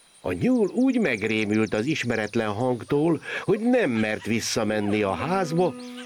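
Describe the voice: Someone reads text aloud in a plain manner.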